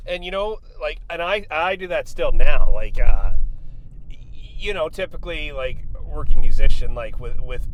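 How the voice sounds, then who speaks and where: With noticeable background noise behind him, a man speaks with big swings in loudness. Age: 40s. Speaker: working musician. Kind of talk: casual chat.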